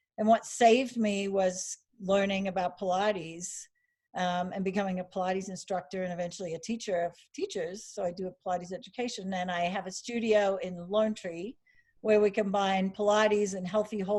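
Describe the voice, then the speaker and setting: With a slight Australian accent, a woman speaks at a medium pitch and moderate pace, her intonation fairly even. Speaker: Pilates teacher. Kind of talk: interview.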